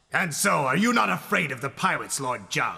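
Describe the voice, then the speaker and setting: Putting on a character voice, a man talks fairly quickly at a fairly high pitch with very wide pitch swings. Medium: fan dub. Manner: challenging, dramatic.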